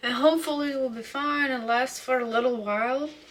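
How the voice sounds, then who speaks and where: A woman with a high pitch and ordinary pitch variation speaks over noticeable background noise. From Ukraine. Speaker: vlogger. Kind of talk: casual monologue to camera. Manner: hesitant, many fillers.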